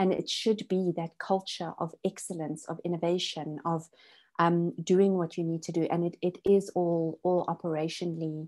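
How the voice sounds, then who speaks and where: With a dark, mellow tone, a woman speaks at a moderate pace in a fairly low pitch and a flat, monotone intonation. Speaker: business consultant. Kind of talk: online masterclass presentation.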